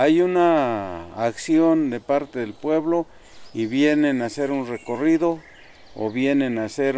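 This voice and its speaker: In a normal speaking voice, a man talks at a fairly slow pace. His pitch variation is ordinary. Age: 60s. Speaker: community forest defender. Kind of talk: interview testimony.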